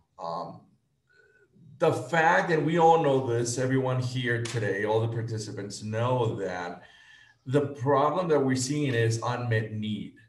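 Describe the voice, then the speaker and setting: There's audible room echo around this man's somewhat breathy voice. His pitch variation is ordinary. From Guatemala. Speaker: nonprofit executive director, reproductive health; panelist. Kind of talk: panel presentation. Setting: video call. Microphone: video call.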